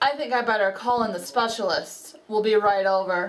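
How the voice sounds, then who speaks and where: A woman's mumbled, put-on character voice, fairly high in pitch, at a moderate pace with ordinary pitch variation. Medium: read story. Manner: fussy, mumbling.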